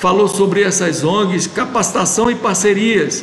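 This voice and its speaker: A high-pitched man amid noticeable background noise and audible room echo. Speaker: meeting leader of a church study group. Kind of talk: online group meeting discussion. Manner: halting, with many repetitions.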